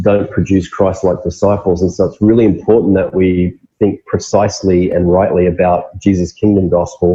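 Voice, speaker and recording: Somewhat breathy and fairly low, a man's dark, mellow voice comes through with an Australian accent. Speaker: pastor. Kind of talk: interview.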